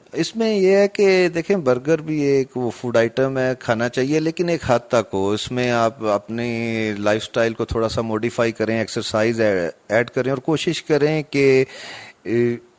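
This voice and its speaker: Noticeable background noise sits behind a man's medium-pitched voice. His intonation is lively, and the sound is dry and close with no echo. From Mirpur, Azad Kashmir. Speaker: cardiologist. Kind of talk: expert interview.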